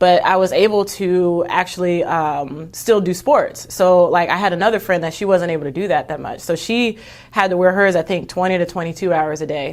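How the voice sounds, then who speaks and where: An ordinary speaking voice, fairly quick and with hardly any pauses, ordinary pitch variation, with an American accent. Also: woman, medium pitch for a woman. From Texas. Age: 30s. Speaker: Olympic bobsledder. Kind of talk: podcast interview. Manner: casual, many fillers.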